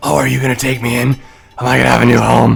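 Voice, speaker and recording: Over faint music in the background, a man does a raspy, put-on character voice at a very fast pace. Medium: actual play. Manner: casual, street-tough.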